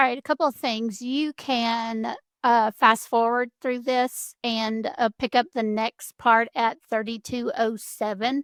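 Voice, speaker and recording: A woman with a Southern US accent speaks at a fairly slow pace in a fairly high pitch, her intonation fairly even, and the sound is dry and close with no echo. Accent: Southern American. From US South. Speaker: home decor creator. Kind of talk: tutorial. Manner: casual.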